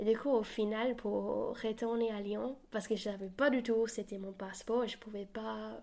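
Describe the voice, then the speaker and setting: A woman speaks at a fairly high pitch. Her intonation is monotone and flat. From New Zealand. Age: 20s. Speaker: university student. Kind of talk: interview.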